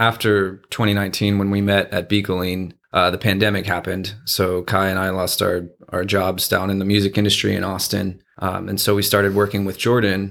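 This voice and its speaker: With an American accent, a man talks at a fairly quick pace in a fairly low, monotone voice with flat intonation. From Texas, San Antonio. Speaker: LARP event organizer and graphic designer. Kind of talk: casual chat.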